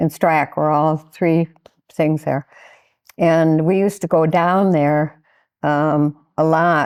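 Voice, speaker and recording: In an American accent, the voice stays monotone and flat at very even loudness, broken by long, frequent pauses. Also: woman, very deep, low pitch for a woman. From Michigan, US Midwest. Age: 80s+. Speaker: skydiver. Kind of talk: interview. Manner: halting.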